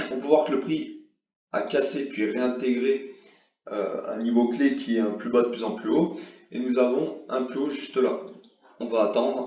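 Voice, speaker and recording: There is audible room echo as a man speaks at a fairly slow pace with long, frequent pauses. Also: medium pitch for a man, ordinary pitch variation. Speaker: forex trading youtuber. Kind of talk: tutorial. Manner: hesitant, many fillers.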